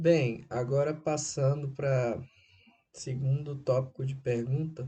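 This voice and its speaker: A man speaks very slowly in a dark, mellow, somewhat breathy tone at a fairly high pitch. His intonation stays fairly even. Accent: slight northeastern Brazilian. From Brazil, Recife, Pernambuco. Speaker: writer. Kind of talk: interview answers, monologue. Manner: halting.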